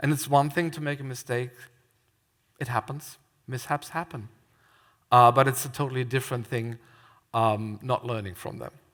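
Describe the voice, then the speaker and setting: A man with a German accent keeps a fairly even intonation and leaves long, frequent pauses. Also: medium pitch for a man, moderate pace. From Germany. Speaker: theme park scare attraction designer. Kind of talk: conference talk. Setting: stage with audience.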